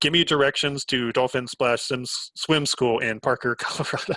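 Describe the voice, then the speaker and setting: A man puts on a robotic character voice at medium pitch and moderate pace. The intonation is fairly even, and the sound is dry and close with no echo. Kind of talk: voice-command style. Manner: robotic, stiff.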